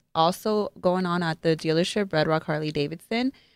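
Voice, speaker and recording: A woman with an American accent and a plain, everyday voice speaks at a moderate pace with a fairly low pitch and ordinary pitch variation, in a dry, close sound with no echo. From Las Vegas, Nevada. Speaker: co-host, dealership employee. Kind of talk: live-streamed show, casual presentation. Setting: studio.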